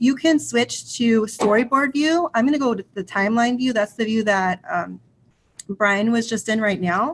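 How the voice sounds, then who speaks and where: A woman speaks at a moderate pace in a fairly high, somewhat breathy voice. Her pitch varies in an ordinary way. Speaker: ed tech trainer for teachers. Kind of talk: tutorial. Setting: online video session with screen share.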